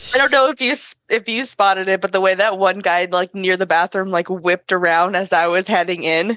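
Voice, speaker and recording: In an unremarkable speaking voice, a woman with an American accent talks at a fairly quick pace with hardly any pauses. Her pitch is medium with ordinary variation, and the sound is dry and close with no echo. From Michigan. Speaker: cosplayer. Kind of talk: casual chat.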